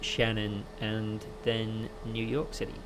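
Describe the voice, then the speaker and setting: Speech at a very slow pace comes with audible room echo. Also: man. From Wales, near Cardiff. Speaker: flight sim streamer. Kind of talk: live gaming stream commentary. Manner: casual, with many fillers.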